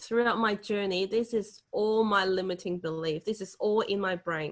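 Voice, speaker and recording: A woman with a Hong Kong accent talks at a medium pitch with ordinary pitch variation. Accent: Hong Kong Cantonese accent in English. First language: Cantonese. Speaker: motivational speaker. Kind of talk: webinar Q&A answer.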